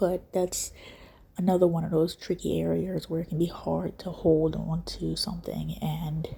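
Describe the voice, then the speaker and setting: Whispering and soft-spoken, a woman speaks at a fairly slow pace. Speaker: skincare video creator. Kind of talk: casual talk to camera. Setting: indoors at home, quiet room. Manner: whispered, soft-spoken.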